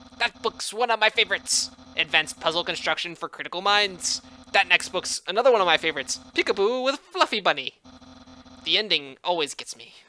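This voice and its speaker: A put-on character voice at a middle pitch, delivered at a fairly quick pace. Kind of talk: comic overacting. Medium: game stream. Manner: grandiose, proud.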